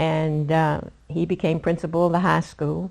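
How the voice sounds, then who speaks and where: A woman with an American accent speaks in a fairly low, flat monotone against a quiet background. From West Virginia. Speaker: award honoree. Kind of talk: oral history interview.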